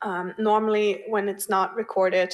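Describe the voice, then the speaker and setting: Woman at a medium pitch and fairly slow pace with a German accent. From Germany. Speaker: workshop facilitator. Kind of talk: workshop presentation. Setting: room with audience and online. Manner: hesitant, many fillers.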